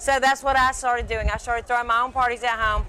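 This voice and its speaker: An animated woman with a high pitch, a bright, sharp tone, a very fast pace and a Southern US accent. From Alabama, Birmingham (US South). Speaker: celebrity chef and TV personality. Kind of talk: interview.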